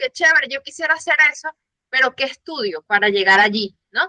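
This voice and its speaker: A woman speaks in a high pitch with a bright, sharp tone. The sound is dry and close, with no echo. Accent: Venezuelan. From Venezuela. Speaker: audience member, communications staff. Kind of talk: audience question.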